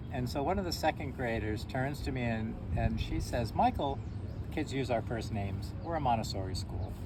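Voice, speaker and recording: A man's fairly low voice with very wide pitch swings at a moderate pace, with audible room echo and noticeable background noise. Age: 60s. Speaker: shop owner and school teacher. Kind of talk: casual chat. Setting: outdoors.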